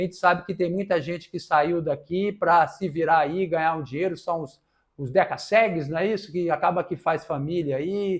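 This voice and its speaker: A high-pitched man speaks at a moderate pace with ordinary pitch variation. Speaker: lawyer answering viewer questions on debts. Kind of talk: live stream Q&A. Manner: casual, conversational.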